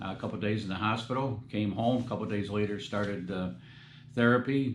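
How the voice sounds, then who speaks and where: A man speaks at a fairly low pitch. There is audible room echo. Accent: American. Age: 70s. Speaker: metal detecting youtuber. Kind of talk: casual vlog talk. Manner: halting, many fillers.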